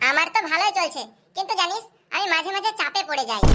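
A woman does a squeaky, cartoonish character voice. It sits at an extremely high pitch, with lively intonation. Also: moderate pace, very even loudness. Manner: offhand, casual.

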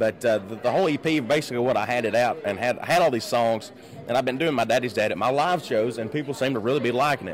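A man with a Kentucky accent at a very fast pace, ordinary pitch variation, dry sound with no echo and light background noise. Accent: Kentucky Southern US. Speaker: country singer; guest. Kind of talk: casual interview. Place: hall. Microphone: handheld.

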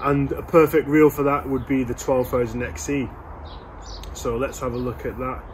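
There is little pitch movement as a man talks at a moderate pace. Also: medium pitch for a man.

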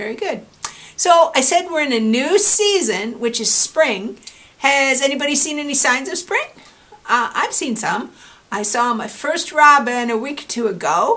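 A woman speaks in a raised, projected voice at a fairly slow pace. Her pitch swings very widely. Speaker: story time host. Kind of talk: children's story time talk. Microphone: camera far.

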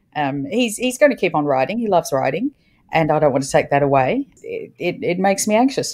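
Her pitch is fairly low and swings very widely. The woman talks at a fairly quick pace with an Australian accent. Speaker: podcast co-host and parent. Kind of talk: casual chat.

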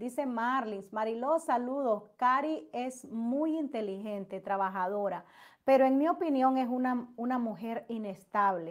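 Against a quiet background, the speech flows at a fairly slow pace with hardly any pauses and ordinary pitch variation. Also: woman. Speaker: YouTube gossip commentator. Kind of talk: livestream chat with viewers. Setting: livestream. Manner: loud; animated. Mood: animated, sometimes indignant. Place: home room. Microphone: webcam.

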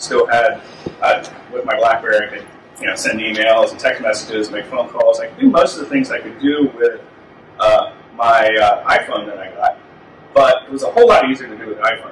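The speech moves at a fairly quick pace with big swings in loudness, audible room echo and light background noise. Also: man. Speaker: conference presenter. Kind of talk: presentation talk. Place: meeting room. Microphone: camera far.

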